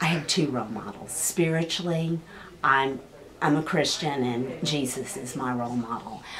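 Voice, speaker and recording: In a Texas accent, a woman with a very deep, low pitch speaks at a moderate pace with ordinary pitch variation, amid noticeable background noise and audible room echo. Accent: Texas Southern twang. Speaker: high school counselor. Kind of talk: casual interview.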